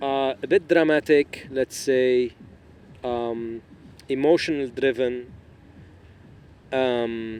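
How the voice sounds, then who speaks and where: A man with an Arabic accent and medium pitch speaks very slowly, with long, frequent pauses and fairly even intonation. The sound is dry and close with no echo, though there is noticeable background noise. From Lebanon. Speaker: podcast guest. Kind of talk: casual chat.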